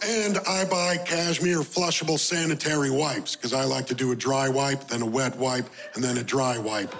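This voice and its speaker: Over noticeable background noise, a man speaks at a fairly high pitch with ordinary pitch variation, very even loudness and hardly any pauses. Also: moderate pace. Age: 30s. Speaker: stand-up comedian. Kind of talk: stand-up.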